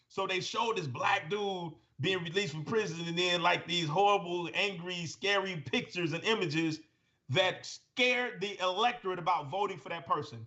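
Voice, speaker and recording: An animated man with an American accent speaks at a high pitch and moderate pace, with ordinary pitch variation. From Gary, Indiana. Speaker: retired judge. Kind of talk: podcast interview, storytelling.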